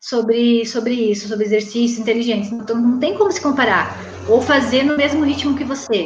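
A woman speaks in a high pitch with audible room echo. Background noise is noticeable too. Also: ordinary pitch variation. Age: 40s. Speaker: weight-loss program student. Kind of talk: interview testimony. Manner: animated.

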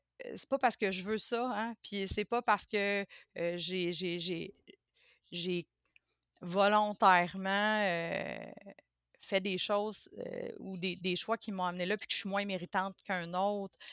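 Long, frequent pauses from a woman speaking at a very slow pace. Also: medium pitch for a woman, fairly even intonation. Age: 40s. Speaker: podcast guest sharing personal experience. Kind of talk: casual interview conversation. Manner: halting, many hesitations and repetitions.

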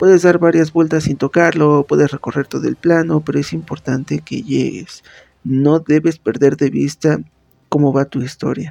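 A man speaks at a moderate pace in a fairly high pitch with a dark, mellow tone. The sound is dry and close, with no echo. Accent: central Mexican. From Mexico, Pachuca, Hidalgo. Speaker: podcast host and writer. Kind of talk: tutorial. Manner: casual with frequent fillers.

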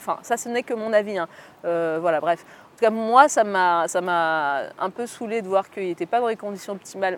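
Loudness swings widely as a woman talks at a fairly quick pace, her medium pitch varying in an ordinary way. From France, of Algerian descent. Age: 30s. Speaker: communications entrepreneur, former journalist. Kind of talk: interview. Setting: podcast recording. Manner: hesitant, many fillers.

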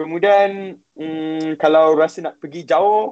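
At a fairly slow pace, a man uses an ordinary speaking voice with a fairly high pitch and ordinary pitch variation. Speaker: university student studying abroad. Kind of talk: live-stream interview, sharing experience.

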